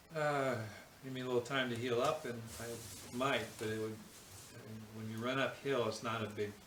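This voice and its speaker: A man with an American accent speaks fairly slowly with fairly even intonation. Noticeable background noise and audible room echo are present. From US West Coast, San Francisco Bay Area. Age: 70s. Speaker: physician and ultra-endurance athlete. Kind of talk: casual interview. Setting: interview at his home.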